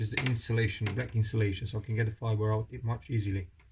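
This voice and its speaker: With a non-native accent, a man speaks at medium pitch and a moderate pace, his intonation fairly even. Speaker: technician / tradesperson. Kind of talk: tutorial. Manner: casual, demonstrative.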